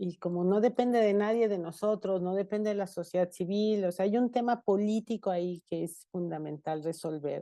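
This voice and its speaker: A woman talks at a moderate pace with hardly any pauses. Her medium-pitched voice has a dark, mellow tone and ordinary pitch variation. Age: 60s. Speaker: energy analyst. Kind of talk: webinar panel discussion.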